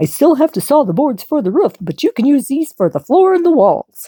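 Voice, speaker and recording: A woman puts on a high-pitched character voice, moving at a fairly quick pace with very wide pitch swings. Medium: read story. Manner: friendly, eager.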